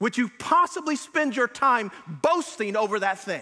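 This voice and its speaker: In a raised, projected voice, a man speaks with extremely high pitch, very wide pitch swings and a bright, sharp tone. His pace is moderate, and the background is quiet. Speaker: preacher. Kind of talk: sermon. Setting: church. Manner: earnest, conversational preaching with frequent hesitations and self-repeats; exhortative, pastoral, warmly encouraging. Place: church. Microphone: lapel.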